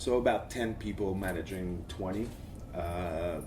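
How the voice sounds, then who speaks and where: This man's voice sits very deep and low, with ordinary pitch variation and a somewhat breathy quality. Audible room echo surrounds it. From Quebec, Montreal. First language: French. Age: 40s. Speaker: agency creative director, conference speaker. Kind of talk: conference talk. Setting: stage with audience.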